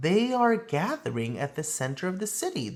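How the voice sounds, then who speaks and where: Using a put-on character voice, a man speaks at a high pitch. His pitch swings very widely. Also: moderate pace. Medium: read story. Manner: calm, assured.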